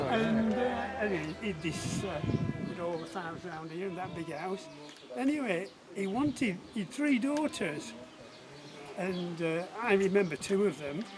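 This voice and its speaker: A man with a high voice and lively intonation speaks at a fairly slow pace, with noticeable background noise and audible room echo. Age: 70s. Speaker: local farmer. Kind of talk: casual chat. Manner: halting.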